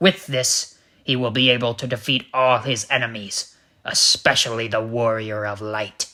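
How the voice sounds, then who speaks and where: A man puts on a cartoonish character voice at a medium pitch, keeping his intonation fairly even. The recording is very clean, with a silent background. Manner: officious, deadpan.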